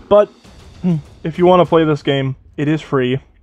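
Over music in the background, a man speaks at a fairly slow pace and fairly high pitch, with ordinary pitch variation. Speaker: gaming YouTuber. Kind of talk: gameplay commentary. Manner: casual, rambling with fillers.

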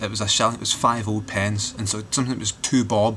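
Light background noise sits behind a man with a Glaswegian accent. His pitch is fairly low and his intonation fairly even. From Glasgow, Scotland. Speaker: vlogger. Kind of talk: casual talk to camera. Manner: rambling, sardonic. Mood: wry, joking. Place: home room. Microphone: webcam.

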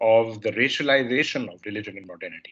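A man speaks at a moderate pace. His intonation stays flat and monotone. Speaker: university lecturer. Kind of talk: lecture. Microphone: webcam.

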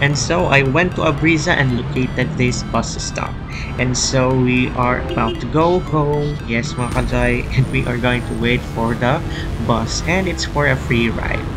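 Clear music plays in the background as a man speaks at a fairly slow pace with ordinary pitch variation. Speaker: travel vlogger. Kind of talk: casual vlog chat. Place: street. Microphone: phone near.

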